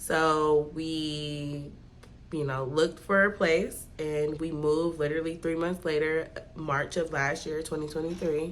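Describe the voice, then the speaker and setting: A woman's very deep, low voice, fairly slow and monotone, with audible room echo. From California, Bay Area. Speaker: vlogger. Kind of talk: casual vlog talk. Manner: talking low; chatty.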